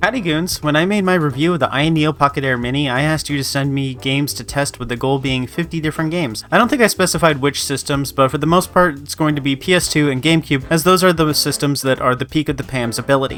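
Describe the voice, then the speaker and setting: A man's fairly high voice at a very fast pace, with hardly any pauses. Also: ordinary pitch variation. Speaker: gaming YouTuber, handheld reviewer. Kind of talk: scripted narration.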